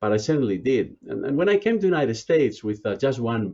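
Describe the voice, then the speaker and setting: Here a man speaks with a Spanish accent. His pitch shows ordinary variation. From Spain, small provincial town. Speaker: business school dean. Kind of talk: interview. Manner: halting, many fillers.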